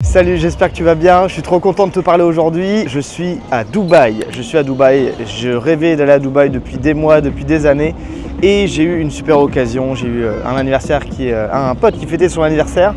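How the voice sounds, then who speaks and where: Music plays behind a man speaking at a moderate pace. His pitch is fairly high, and his intonation is lively. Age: 20s. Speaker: youtuber, video editing coach. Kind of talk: casual vlog monologue. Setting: outdoors. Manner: animated.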